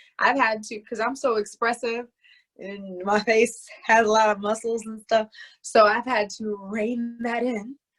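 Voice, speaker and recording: Music plays behind a woman with an American accent and a fairly high pitch. She talks at a fairly slow pace in a monotone, flat intonation, with big swings in loudness. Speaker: actress. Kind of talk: interview.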